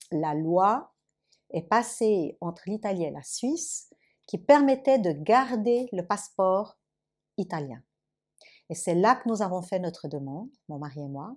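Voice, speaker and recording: Speaking at a fairly slow pace, a woman has a fairly low pitch. Her pitch swings very widely. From Lausanne, Switzerland. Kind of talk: interview answer.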